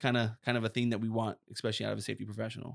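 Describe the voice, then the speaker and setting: Very fast and animated, a man speaks at a medium pitch. The recording is very clean, with a silent background and a dry, close sound free of echo. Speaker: safety podcast co-host, former EMT. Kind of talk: casual chat. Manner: loud.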